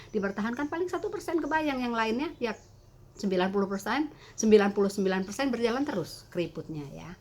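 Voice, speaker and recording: A woman speaks with lively intonation. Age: 60s. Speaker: beauty content creator. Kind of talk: tutorial. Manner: halting.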